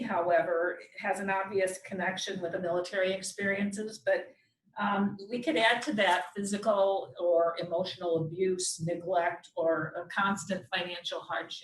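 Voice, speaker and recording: A woman of medium pitch talks at a moderate pace in a plain, everyday voice. Her pitch variation is ordinary. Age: 60s. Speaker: doctor giving community health talk. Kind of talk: presentation. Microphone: too far from mic, hard to hear.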